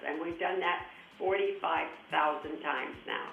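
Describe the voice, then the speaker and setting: Music plays in the background as a woman speaks, with room echo audible. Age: 80s+. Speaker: charity founder. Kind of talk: interview. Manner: halting.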